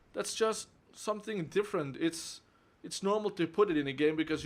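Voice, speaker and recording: A man with a Flemish accent, lively intonation and a fairly quick pace. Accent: Flemish Dutch accent in English. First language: Dutch (Flemish). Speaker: game reviewer. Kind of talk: video game review.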